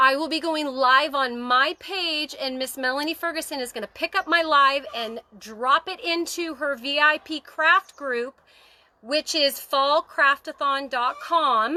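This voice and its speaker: With a raised, projected voice, a woman of high pitch speaks at a fairly slow pace in a bright, sharp tone, dry and close with no echo. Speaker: crafting channel host. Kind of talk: livestream craft tutorial. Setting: outdoors on her deck, livestream. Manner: animated.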